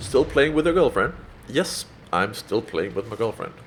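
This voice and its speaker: Speaking with a Danish accent, a man keeps a moderate pace. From Denmark. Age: 20s. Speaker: gaming YouTuber. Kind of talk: Q&A video commentary. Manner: casual, many filler ums.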